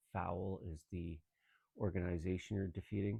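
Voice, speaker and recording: Mumbling at a moderate pace, a man speaks with a very deep, low pitch and fairly even intonation. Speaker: gaming YouTuber. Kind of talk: let's play commentary. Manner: quiet, tentative. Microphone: no proper microphone, phone recording.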